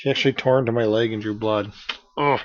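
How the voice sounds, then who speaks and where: A soft-spoken man talks, his pitch varying in an ordinary way. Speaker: amateur web show host and author. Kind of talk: casual vlog monologue. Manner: soft-spoken, hard to hear; hesitant, many fillers.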